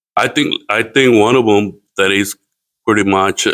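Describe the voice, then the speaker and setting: A man speaks at a fairly slow pace with a Spanish accent. The sound is dry and close, with no echo. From Mexico. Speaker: community watershed worker. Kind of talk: interview. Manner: halting.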